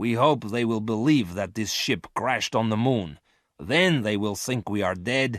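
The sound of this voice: Unforced reading with a quiet background.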